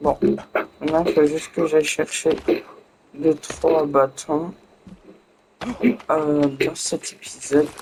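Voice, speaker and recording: A man's very slow speech at a fairly high pitch, with long, frequent pauses and noticeable background noise. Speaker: gaming youtuber. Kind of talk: let's play commentary.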